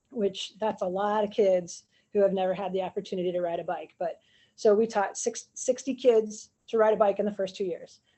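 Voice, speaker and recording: A woman with an American accent speaks at medium pitch. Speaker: physical education teacher. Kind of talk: panel presentation on video call. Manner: fast.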